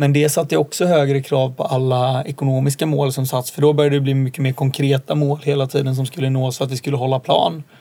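Racing at a very fast pace with hardly any pauses, a man speaks in a dark, mellow tone that is somewhat breathy, at a fairly high pitch with fairly even intonation. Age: 20s. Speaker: entrepreneur. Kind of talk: interview. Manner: hesitant, many fillers.

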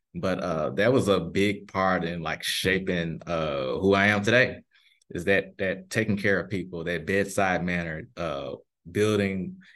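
A man's very deep, low voice at a moderate pace, fairly even in intonation, against a quiet background. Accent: Memphis. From US South, Memphis, Tennessee. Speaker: pharmacist. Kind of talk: interview.

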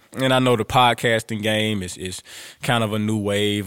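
A man is talking. His voice sits fairly low. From US South, Louisiana (Grambling). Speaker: podcast host, motivational speaker. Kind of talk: casual monologue. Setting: home room. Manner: animated.

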